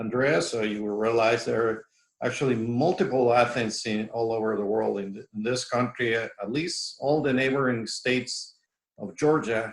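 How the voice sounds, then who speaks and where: Speaking with fairly even intonation, a man's medium-pitched voice keeps a moderate pace. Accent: Mexican. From Mexico. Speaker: professor. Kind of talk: lecture. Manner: halting, many fillers and repetitions.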